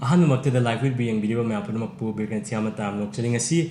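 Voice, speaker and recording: A man in a Manipur accent, medium pitch, moderate pace, with audible room echo. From Manipur, northeast India. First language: Manipuri. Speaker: YouTuber hosting language exchange. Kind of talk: video intro in Manipuri; casual language-teaching game. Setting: university campus.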